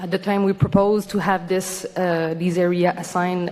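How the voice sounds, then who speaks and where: A woman talks in a fairly low pitch, with noticeable background noise behind her. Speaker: organization representative at public hearing. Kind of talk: formal presentation. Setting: public hearing. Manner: fast.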